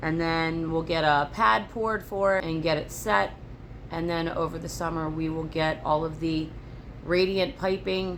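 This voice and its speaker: Rather unhurried delivery, normal rise and fall in pitch, some audible room echo. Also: woman. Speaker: homesteader vlogger. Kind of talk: casual vlog. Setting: home homestead, tripod.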